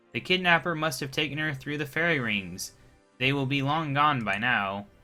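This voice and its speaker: Someone uses a put-on character voice at a moderate pace, with faint music in the background. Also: man, fairly high pitch for a man. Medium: solo performance. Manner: bossy, protective.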